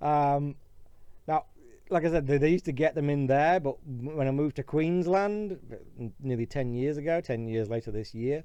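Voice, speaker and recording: A man speaks at a moderate pace with a British accent. His pitch is fairly high, and his tone is dark and mellow. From Britain. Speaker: YouTuber. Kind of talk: casual vlog monologue. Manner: halting, with fillers and restarts.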